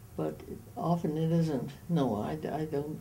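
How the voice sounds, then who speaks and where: In a very deep, low voice with vocal fry and a dark, mellow tone, a woman speaks at a fairly slow pace. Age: 80s+. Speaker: retired. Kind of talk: interview answer.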